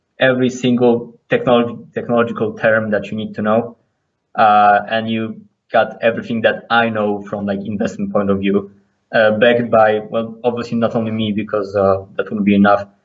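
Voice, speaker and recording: A man with a non-native accent, medium-pitched, in a monotone, flat delivery at a fairly quick pace, with long, frequent pauses. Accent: non-native English accent, audible. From Poland. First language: Polish. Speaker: cryptocurrency trader. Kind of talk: podcast interview. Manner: halting, many fillers and restarts.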